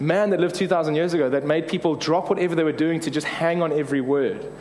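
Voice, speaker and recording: A man's voice, high for a man, at a very fast pace with hardly any pauses, very even loudness and ordinary pitch variation, over noticeable background noise. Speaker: preacher. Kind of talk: conversational, humorous sermon. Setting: church sermon. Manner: fast talker; fast talker, self-described motormouth.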